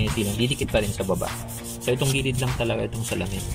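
A man talks while clear music is heard behind him. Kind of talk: tutorial. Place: street. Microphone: phone near.

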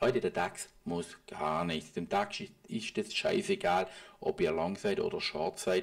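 Noticeable background noise sits behind a man talking at a very slow pace. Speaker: private trader and market analysis video host. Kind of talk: market analysis commentary over charts. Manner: casual, with filler sounds.

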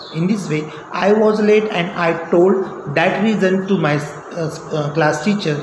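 There is noticeable background noise behind this man. He talks at a very slow pace with ordinary pitch variation. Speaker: teacher. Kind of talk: lesson talk, spoken English practice. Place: classroom. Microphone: phone near.

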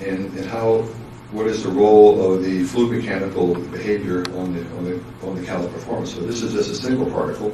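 A man talks at a fairly quick pace with few pauses, low in pitch and with a dark, mellow tone. His intonation stays fairly even, and the room echo is audible.

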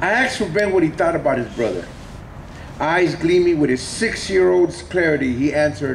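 With an American accent, a man speaks at a moderate pace with very wide pitch swings over light background noise. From Los Angeles. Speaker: poet. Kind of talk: poetry reading. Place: hall. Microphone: camera far.

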